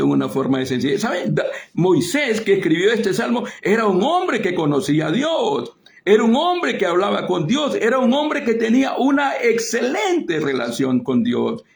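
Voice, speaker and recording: His pitch swings across a very wide range. This man keeps a moderate pace. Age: 60s. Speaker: preacher. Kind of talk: sermon. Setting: online broadcast via Facebook and Zoom.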